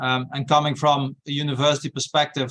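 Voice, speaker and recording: A speaker with a Dutch accent talks at a moderate pace in a bright, sharp tone, with flat, monotone intonation and a dry, close sound free of echo. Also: man. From Netherlands. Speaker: university research director. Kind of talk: webinar discussion. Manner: hesitant, frequent fillers.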